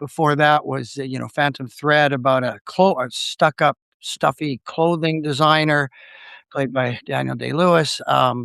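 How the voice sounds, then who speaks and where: A man speaks at a fairly slow pace in a bright, sharp tone with fairly even intonation. The sound is dry and close, with no echo. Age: 60s. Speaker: film enthusiast guest. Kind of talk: casual interview chat. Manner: halting, many fillers and restarts.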